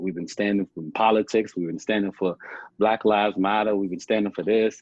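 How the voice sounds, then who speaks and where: Fairly quick American-accented speech from a man. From Chicago. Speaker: founder of a men's outreach group. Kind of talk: podcast interview. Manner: animated.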